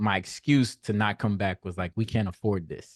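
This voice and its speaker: An ordinary speaking voice from a man with an American accent, fairly low in pitch, at a moderate pace, dry and close with no echo against a quiet background. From US South, Nashville, Tennessee. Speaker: podcast host, mental health speaker. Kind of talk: casual interview conversation.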